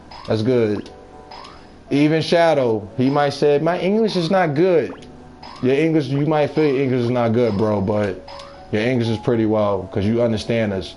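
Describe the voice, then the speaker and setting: Music plays in the background as a man with an American accent speaks at a medium pitch and moderate pace. His intonation is lively, and audible room echo surrounds the voice. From New York. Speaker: video game live streamer. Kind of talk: casual chat with live stream viewers while gaming.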